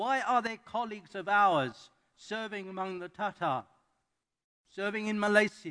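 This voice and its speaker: A man with a high pitch and ordinary pitch variation projects a raised voice in a bright, sharp tone, at a moderate pace with long, frequent pauses. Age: 70s. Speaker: missionary and guest preacher. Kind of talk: sermon. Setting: church. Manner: halting.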